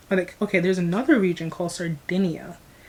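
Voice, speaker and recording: At a very fast pace, a woman with an American accent speaks in a fairly low, somewhat breathy voice. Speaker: YouTuber. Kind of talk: casual vlog reaction. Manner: rambling, long-winded.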